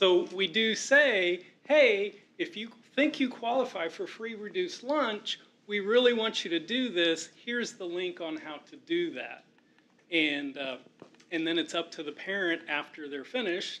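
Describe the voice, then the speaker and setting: Loudly and at a fairly slow pace, a man speaks in a high pitch that moves in very wide swings. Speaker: school district staff. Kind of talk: board meeting explanation.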